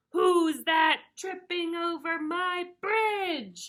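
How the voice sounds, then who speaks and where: A woman bellowing in a put-on character voice, extremely high-pitched, at a very slow pace. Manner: roaring, scary, gruff.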